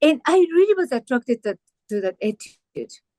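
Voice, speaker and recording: Speaking in a Japanese accent at a moderate pace, a woman has a dark, mellow tone. Her sound is dry and close, with no echo. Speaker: pianist and interviewer. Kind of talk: interview. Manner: halting.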